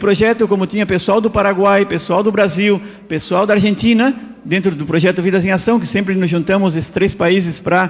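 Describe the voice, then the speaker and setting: A man with a high-pitched voice talks at a moderate pace, varying his pitch in an ordinary way. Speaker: health lecturer. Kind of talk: lecture. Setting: church.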